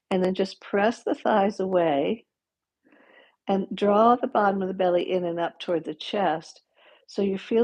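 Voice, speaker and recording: With a plain, everyday voice, a woman speaks at a medium pitch and a fairly slow pace, her pitch varying in an ordinary way. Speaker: yoga teacher. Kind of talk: guided yoga class. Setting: livestream. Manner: instructional, calm.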